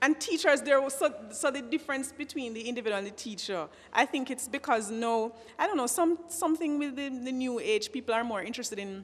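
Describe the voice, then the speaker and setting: A woman is talking at a fairly quick pace. Her voice is fairly high. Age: young. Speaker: teacher. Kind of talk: panel discussion. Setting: at a microphone before an audience. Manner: halting.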